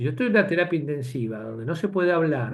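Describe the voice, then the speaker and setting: Fairly high-pitched and somewhat breathy, a man speaks at a fairly quick pace with lively intonation. The room echo is audible. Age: 60s. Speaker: physician lecturer. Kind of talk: lecture. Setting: webinar video call. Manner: halting.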